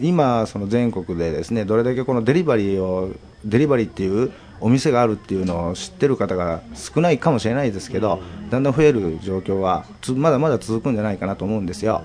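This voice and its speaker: A man talks at a very fast pace with lively intonation. His pitch sits fairly low. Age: 30s. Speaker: shop manager. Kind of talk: interview. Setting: shop office.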